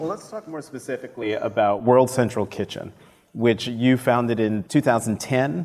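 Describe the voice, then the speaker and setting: Here a man has an ordinary speaking voice, with medium pitch and ordinary pitch variation. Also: moderate pace. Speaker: podcast host and journalist. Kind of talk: live interview. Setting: stage with audience.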